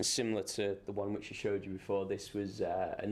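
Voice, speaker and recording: A fairly low-pitched man in a flat monotone, with audible room echo. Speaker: lighting designer. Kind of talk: lecture. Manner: fast.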